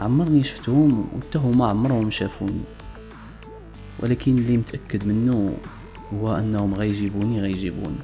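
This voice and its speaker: Music plays in the background as a man talks at a fairly slow pace. His pitch is fairly low, with ordinary pitch variation. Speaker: storyteller. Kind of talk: first-person story narration.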